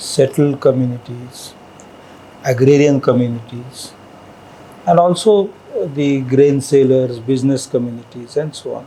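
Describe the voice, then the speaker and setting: Against noticeable background noise, a man of medium pitch talks at a fairly slow pace with fairly even intonation and big swings in loudness. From India, Maharashtra. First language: Marathi. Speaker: scholar and linguist. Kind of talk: interview.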